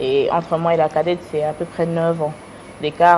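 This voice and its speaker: A woman talks at a moderate pace in a fairly low voice with monotone, flat intonation. Noticeable background noise runs throughout. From United States. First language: English (speaking French). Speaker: businesswoman. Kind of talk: interview. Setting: studio. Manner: halting.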